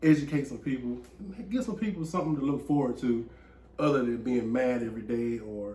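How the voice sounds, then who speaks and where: A man talks at a fairly quick pace in a somewhat breathy voice, with very wide pitch swings. Audible room echo surrounds him. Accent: Southern US. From US South, rural Georgia. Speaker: podcast host. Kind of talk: casual chat.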